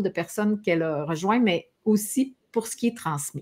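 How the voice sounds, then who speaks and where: In a Quebec accent, a woman with medium pitch speaks with lively intonation on a very clean recording with a silent background. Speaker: talk show host. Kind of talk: interview. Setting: live stream.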